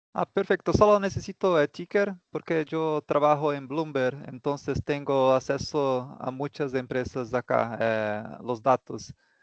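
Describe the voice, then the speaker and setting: A man's fairly high voice with a non-native accent, fairly slow yet with hardly any pauses, ordinary pitch variation, dry and close with no echo. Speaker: student. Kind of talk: class discussion. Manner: halting.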